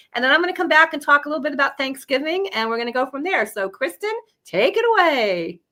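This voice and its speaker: A woman speaks in a raised, projected voice at a very fast pace, her high pitch swinging very widely in a bright, sharp tone. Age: 60s. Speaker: pet health product company owner. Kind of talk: product presentation.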